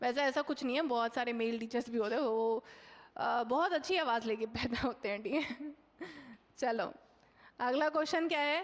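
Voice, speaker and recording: A woman's high-pitched voice with very even loudness and ordinary pitch variation. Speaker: online exam coaching teacher. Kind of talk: live online class solving mock test questions. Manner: loud, shouting for a long time; conversational, many fillers and checks.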